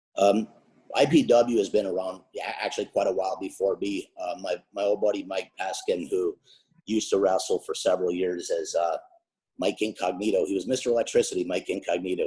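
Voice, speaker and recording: Someone speaks at a fairly quick pace with an Upper Michigan accent. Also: man. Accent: Yooper accent (Upper Peninsula Michigan). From Upper Peninsula of Michigan (Ishpeming). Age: 50s. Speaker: wrestling manager. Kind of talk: interview. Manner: talkative.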